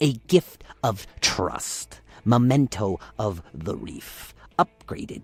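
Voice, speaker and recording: A man uses a put-on, croaky character voice at a medium pitch, speaking very slowly with very wide pitch swings, in a dry, close sound with no echo. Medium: read story. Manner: broken, clipped English.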